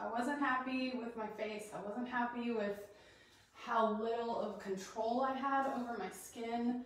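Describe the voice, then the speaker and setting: In an American accent, a woman speaks at a fairly high pitch with ordinary pitch variation and a fairly slow pace. Strong room echo surrounds her voice. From Colorado. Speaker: doula and essential oils teacher; essential oils teacher. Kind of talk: live-streamed class. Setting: live video recorded in her bathroom. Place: bathroom. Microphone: possible room echo; camera far.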